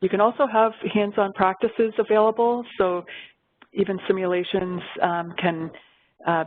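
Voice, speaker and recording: With very even loudness and fairly even intonation, a woman of medium pitch speaks at a moderate pace, leaving long, frequent pauses. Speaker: webcast presenter, software trainer. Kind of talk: software tutorial webcast. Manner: hesitant fillers.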